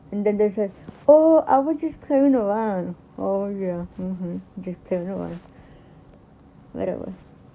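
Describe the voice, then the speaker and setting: With a dark, mellow tone, a woman speaks at a medium pitch and a fairly slow pace, her intonation lively and her long pauses frequent. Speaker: YouTuber reacting to videos. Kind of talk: casual reaction commentary. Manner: halting.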